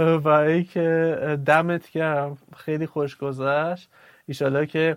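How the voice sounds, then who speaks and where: A man's fairly high voice, very slow, with monotone, flat intonation. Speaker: agile coach and podcaster. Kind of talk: casual chat.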